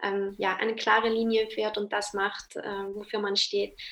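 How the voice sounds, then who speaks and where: A woman's fairly high voice has a bright, sharp tone and a monotone, flat intonation. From South Tyrol, Italy. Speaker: freelance marketing and branding consultant. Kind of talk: interview.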